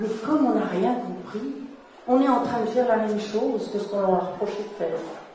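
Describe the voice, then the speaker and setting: A woman's fairly high voice with lively intonation at a moderate pace, with audible room echo and noticeable background noise. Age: 60s. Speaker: therapist and workshop leader. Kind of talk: talk. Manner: halting.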